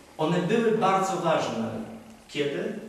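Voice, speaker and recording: A man talks at a moderate pace with ordinary pitch variation. Strong room echo and light background noise surround him. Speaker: priest. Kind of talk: sermon. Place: church.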